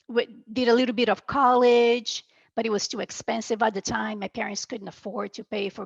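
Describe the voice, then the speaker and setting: In a Brazilian accent, a woman speaks at a fairly quick pace with a fairly high pitch and fairly even intonation. The sound is dry and close with no echo, and the background is quiet. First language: Portuguese. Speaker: medical coder. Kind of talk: interview.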